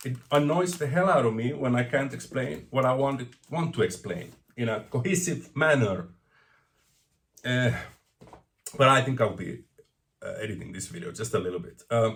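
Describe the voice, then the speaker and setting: Pausing long and often, a man with vocal fry speaks at a moderate pace and medium pitch with lively intonation. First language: not English. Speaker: vinyl record collector vlogger. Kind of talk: casual vlog monologue. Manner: stuttering, rambling.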